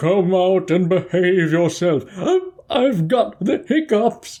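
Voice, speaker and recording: Using a put-on character voice, a woman speaks at medium pitch and a fairly slow pace with very even loudness. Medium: read story.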